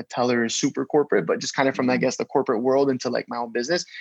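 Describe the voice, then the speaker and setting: A man with a medium pitch is heard in a dry, close sound with no echo. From Canada, Toronto. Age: 20s. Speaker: entrepreneur. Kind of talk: casual interview chat.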